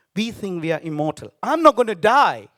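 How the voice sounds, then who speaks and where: A man with a Tamil accent speaks at a moderate pace in a bright, sharp tone, his pitch swinging very widely. The sound is dry and close with no echo, in a very clean recording with a silent background. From Sri Lanka. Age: 50s. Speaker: business founder. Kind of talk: speech. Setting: stage with audience.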